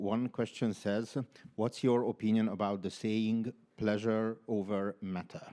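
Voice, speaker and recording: This man has a fairly low pitch and a dark, mellow tone. He speaks at a fairly slow pace in a flat monotone. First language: not English. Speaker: panel moderator. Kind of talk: panel moderation.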